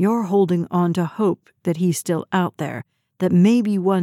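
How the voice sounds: This is a natural reading voice with fairly even intonation. The background stays quiet.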